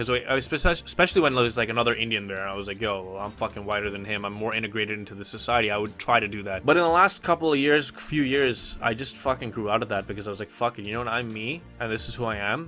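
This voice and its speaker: With music in the background, a man talks at a very fast pace with hardly any pauses, his medium-pitched voice showing ordinary pitch variation. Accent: Canadian. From Canada. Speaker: podcast guest. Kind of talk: casual chat. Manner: animated.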